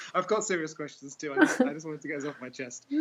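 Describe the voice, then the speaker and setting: There is noticeable background noise behind this man. He talks at a very fast pace with lively intonation. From England, Norwich. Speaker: caller on a live spiritual broadcast. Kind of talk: casual chat. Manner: halting.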